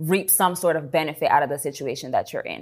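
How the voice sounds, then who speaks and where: On a very clean recording with a silent background, a woman with a fairly low pitch speaks at a very fast pace. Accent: American. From New York City, South Bronx. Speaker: entrepreneur. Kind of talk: casual interview.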